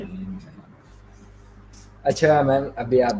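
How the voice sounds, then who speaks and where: A man with an ordinary speaking voice, medium pitch and fairly even intonation. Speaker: interviewer. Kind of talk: interview question.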